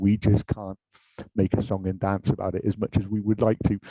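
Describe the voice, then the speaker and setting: In a British accent, a man with a dark, mellow tone and fairly low pitch speaks at a moderate pace, the sound dry and close with no echo. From UK. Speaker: industry director at a tech manufacturer. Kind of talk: panel discussion.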